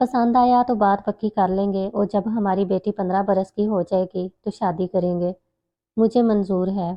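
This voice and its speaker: A woman's voice at a medium pitch. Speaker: voiceover artist. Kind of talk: story narration.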